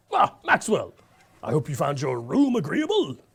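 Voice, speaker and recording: A man speaks at a moderate pace in a cartoonish character voice, pitched high for a man. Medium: puppet. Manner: formal, enthusiastic.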